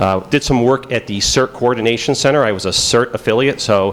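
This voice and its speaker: With a Chicago accent, a man speaks at a very fast pace, his intonation fairly even. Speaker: FBI agent giving conference talk. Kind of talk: conference presentation. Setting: stage with audience. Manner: casual, many fillers.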